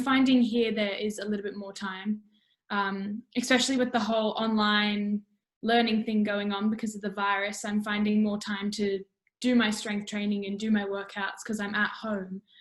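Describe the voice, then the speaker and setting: Speaking at a moderate pace, a woman with an Australian accent uses a medium pitch and a monotone, flat intonation. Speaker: musical theatre student. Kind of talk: casual interview. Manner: loud; halting.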